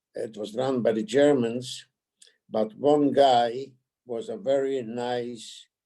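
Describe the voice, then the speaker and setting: At a very slow pace, a man with a medium pitch speaks in a dark, mellow tone with fairly even intonation. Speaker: Holocaust survivor. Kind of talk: testimony. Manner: halting.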